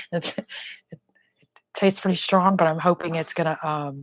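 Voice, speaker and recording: A woman's fairly low, monotone, flat voice, dry and close with no echo. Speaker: firearms channel host. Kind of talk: casual chat. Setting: live stream.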